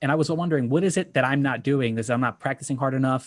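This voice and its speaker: Very fast talking from a man at a medium pitch. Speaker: board game content creator. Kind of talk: panel discussion, personal story.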